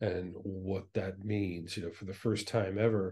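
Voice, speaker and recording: A man's fairly low, dark, mellow voice at a fairly slow pace, with monotone, flat intonation. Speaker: guest. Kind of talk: interview answer. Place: home room. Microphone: video call.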